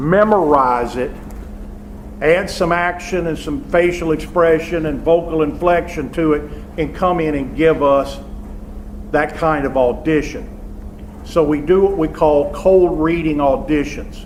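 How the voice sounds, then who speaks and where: Spoken in a Southern US accent at a fairly slow pace with long, frequent pauses and ordinary pitch variation, the clip carries noticeable background noise and audible room echo. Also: man, fairly high pitch for a man. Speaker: theater professor. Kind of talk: lecture. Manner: loud, projecting.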